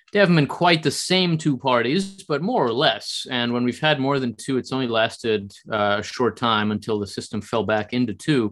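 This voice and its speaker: A man's ordinary speaking voice with an American accent, medium pitch, lively intonation and a moderate pace. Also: hardly any pauses. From US, New Jersey. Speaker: think tank scholar. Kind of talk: interview.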